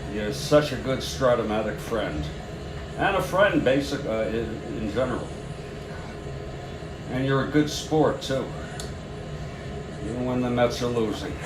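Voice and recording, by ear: Against clear background noise, a man talks at a fairly slow pace with long, frequent pauses. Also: medium pitch for a man, ordinary pitch variation.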